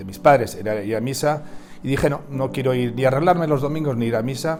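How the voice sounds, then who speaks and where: In a central Spanish accent, a man talks at medium pitch. His pitch variation is ordinary. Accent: central Peninsular Spanish. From Spain, Madrid province. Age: 50s. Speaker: co-pastor. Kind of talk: testimony. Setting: at home. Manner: halting, with many fillers.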